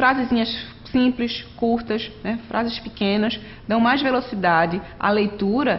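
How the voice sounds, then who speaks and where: A woman's fairly high voice with ordinary pitch variation and audible room echo. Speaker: online course instructor. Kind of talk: lecture. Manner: fast.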